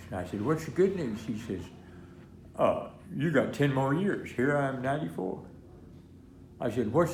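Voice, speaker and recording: Speaking with an American accent at a moderate pace, a man with a medium pitch and vocal fry makes very wide pitch swings and takes long, frequent pauses, with audible room echo. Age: 90s. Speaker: war veteran. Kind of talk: interview. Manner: halting.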